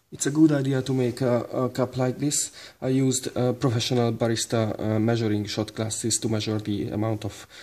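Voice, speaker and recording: A man talks at a fairly quick pace with fairly even intonation. His tone is dark and mellow. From Hungary. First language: Hungarian. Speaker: barista. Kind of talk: tutorial talk to camera. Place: kitchen. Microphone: phone near.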